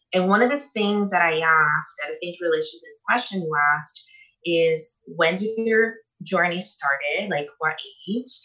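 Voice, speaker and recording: A woman with a Portuguese accent speaks with lively intonation and big swings in loudness. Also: fairly low pitch for a woman, moderate pace. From Brazil. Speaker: nutritionist. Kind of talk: interview.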